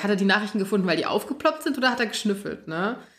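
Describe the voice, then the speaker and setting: A woman with lively intonation. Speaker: podcast host. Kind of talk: casual chat. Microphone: far from the mic.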